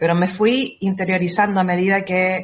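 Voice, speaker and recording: A woman speaks at a fairly slow pace. Her voice is somewhat breathy and medium in pitch. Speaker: astrologer. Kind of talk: interview.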